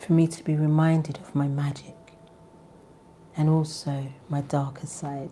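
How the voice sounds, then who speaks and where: Quietly and at a fairly slow pace, a woman speaks with a very deep, low pitch. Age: 40s. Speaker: spiritual tarot reader. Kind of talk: live stream casual chat with prayer. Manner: quiet, talking low.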